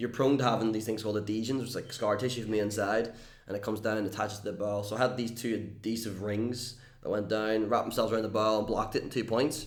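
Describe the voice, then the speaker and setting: Room echo is audible as a man talks at a very fast pace. His intonation is monotone and flat. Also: fairly low pitch for a man. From Northern Ireland. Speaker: YouTuber and entertainer. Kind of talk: casual interview chat.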